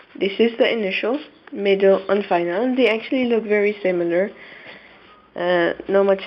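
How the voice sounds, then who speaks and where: A woman at medium pitch with ordinary pitch variation, at a fairly slow pace amid noticeable background noise. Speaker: Arabic teacher. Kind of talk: tutorial.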